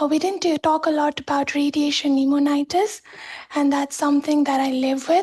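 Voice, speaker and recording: Over noticeable background noise, a woman speaks at a high pitch and a fairly quick pace, with very even loudness and fairly even intonation. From Nepal. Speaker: cancer survivor and research fellow. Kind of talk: testimony. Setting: video call.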